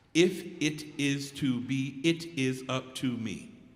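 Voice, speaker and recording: A man speaks at a medium pitch with an American accent. Audible room echo surrounds his voice. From East Texas. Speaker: spoken word poet. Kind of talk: casual remarks to audience.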